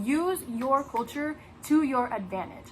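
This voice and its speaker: A woman speaks with a high pitch. Noticeable background noise runs beneath her voice. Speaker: former theater student. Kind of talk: personal testimony.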